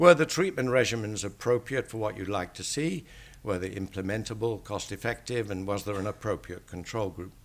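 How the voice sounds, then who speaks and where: He is a man with an English accent and a fairly low pitch that shows ordinary variation. The recording is very clean, with a silent background. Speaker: statistician. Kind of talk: lecture.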